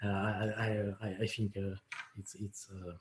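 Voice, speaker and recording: A man with an Italian accent, fairly low in pitch, dark and mellow in tone, somewhat breathy, at a moderate pace. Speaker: software developer, proposal author. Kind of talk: technical presentation. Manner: halting, many fillers and repetitions.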